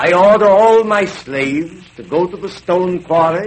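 A man in a dramatic tone at a very slow pace, with ordinary pitch variation and noticeable background noise. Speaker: vintage radio narrator. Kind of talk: 1930s radio documentary narration, archive recording. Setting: old radio broadcast. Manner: formal, dramatic, declamatory, mid-Atlantic announcer style.

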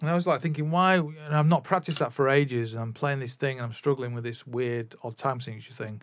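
Speaking at a fairly quick pace, a man with a Mancunian accent talks at a medium pitch. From northern England, Manchester area. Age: 40s. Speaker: podcaster and music teacher. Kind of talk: casual monologue. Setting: home recording setup. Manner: hesitant, many fillers.

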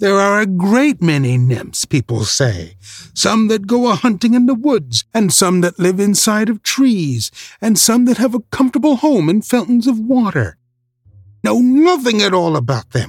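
A man's put-on character voice, shrill and high-pitched, at a moderate pace. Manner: shrill, pleading, feigning ignorance.

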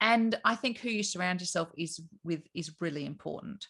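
With an Australian accent, a woman speaks at a moderate pace in a fairly low pitch, her pitch varying in an ordinary way. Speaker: business owner. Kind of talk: casual interview chat.

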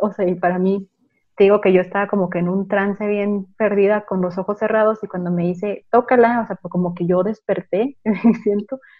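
A woman talks at a moderate pace. Her pitch is medium, with ordinary variation. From Chihuahua, Mexico. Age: 20s. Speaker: home birth mother and meditation shop owner. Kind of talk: interview storytelling. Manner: halting with many fillers.

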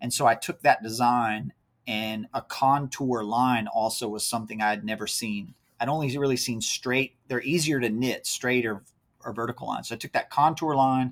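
In a very clean recording with a silent background, a man with an ordinary speaking voice talks at a moderate pace and medium pitch with ordinary pitch variation. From Central Virginia, rural county near Charlottesville. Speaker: race organizer and apparel company founder. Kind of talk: casual interview.

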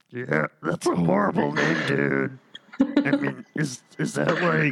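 In a put-on character voice, a man speaks fairly slowly with a raspy, very deep, low pitch and very even loudness. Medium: actual play. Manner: blunt, mocking.

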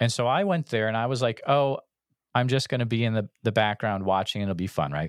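A man with an ordinary speaking voice and an American accent, medium pitch, at a fairly quick pace, on a very clean recording with a silent background and a dry, close sound with no echo. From western Massachusetts. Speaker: podcast host, Bigfoot researcher. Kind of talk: casual chat.

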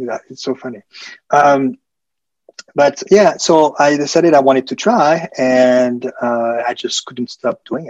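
A man's fairly high voice with a French accent, fairly slow, with ordinary pitch variation and a dry, close sound with no echo. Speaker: hotel sales professional. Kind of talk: casual interview chat.

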